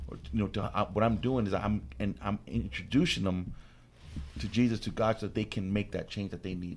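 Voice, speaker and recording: The speaker talks at a fairly quick pace with an American accent and ordinary pitch variation. There is vocal fry, and the loudness swings widely. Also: man. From Corona, California. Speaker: pastor. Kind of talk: radio panel discussion.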